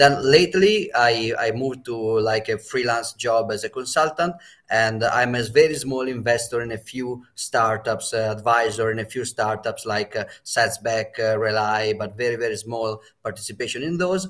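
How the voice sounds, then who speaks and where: A man at medium pitch and a moderate pace, with ordinary pitch variation and hardly any pauses, on a very clean recording with a silent background. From Italy. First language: Italian. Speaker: bitcoin educator. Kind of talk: panel discussion.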